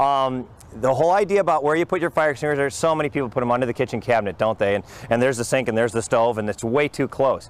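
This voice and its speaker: A man with a medium-pitched voice talks at a very fast pace with lively intonation. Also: very even loudness. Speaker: firefighter fire safety instructor. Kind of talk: training class.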